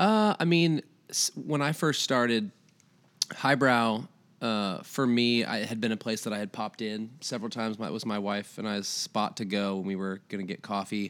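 In a very clean recording with a silent background, a man with a plain, everyday voice speaks at a moderate pace, with a medium pitch and ordinary pitch variation. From Iowa. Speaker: coffee shop manager. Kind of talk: casual interview. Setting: living room.

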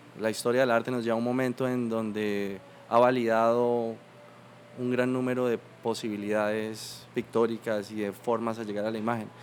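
In a flat, monotone intonation, a man speaks at a moderate pace and medium pitch. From Colombia, Bucaramanga. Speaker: painter. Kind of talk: interview conversation.

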